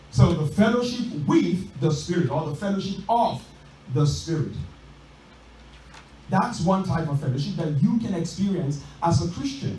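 Audible room echo and light background noise surround a man speaking at a moderate pace. His intonation is lively, broken by long, frequent pauses. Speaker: preacher. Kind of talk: sermon. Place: church.

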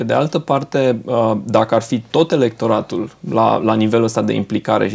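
In a normal speaking voice, a man talks at a fairly quick pace with ordinary pitch variation. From Romania, Brașov; Romania. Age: 40s. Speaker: politician. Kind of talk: TV interview. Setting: studio. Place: studio.

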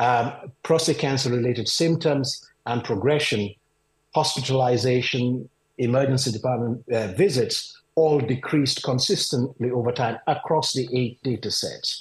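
A man at a moderate pace, somewhat breathy, with ordinary pitch variation, audible room echo and a quiet background. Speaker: urology professor. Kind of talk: interview. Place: home room. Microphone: video call.

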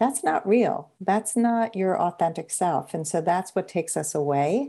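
Against a quiet background, a woman with an unremarkable speaking voice talks at a moderate pace, her fairly low pitch carried by lively intonation. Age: 60s. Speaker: podcast host. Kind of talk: interview.

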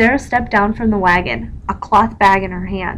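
Text read aloud, plainly.

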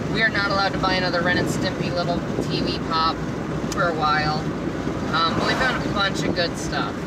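A woman talks at a moderate pace with ordinary pitch variation, her dry, echo-free sound set against loud background noise. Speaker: vlogger. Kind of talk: casual vlog chat. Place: car. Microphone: phone near.

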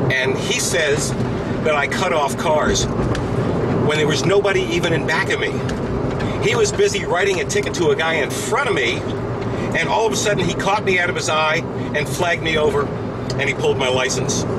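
A man talking at a fairly quick pace with ordinary pitch variation, against loud background noise. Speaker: vlogger driving. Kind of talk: casual vlog chat. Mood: annoyed, recounting an argument. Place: car. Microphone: lapel.

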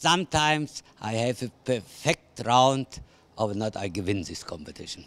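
A man in an Austrian accent at a fairly slow pace, with lively intonation and big swings in loudness. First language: German. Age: 70s. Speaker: show jumper. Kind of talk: interview answer. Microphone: handheld.

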